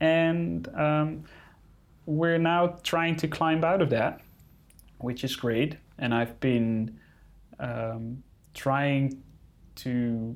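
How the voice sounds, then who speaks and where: A man with a Dutch accent speaks at a very slow pace, leaving long, frequent pauses. His pitch is fairly high and varies in an ordinary way. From Netherlands. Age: 30s. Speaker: wildlife photographer. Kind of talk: interview. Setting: in-person studio. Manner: hesitant, many fillers.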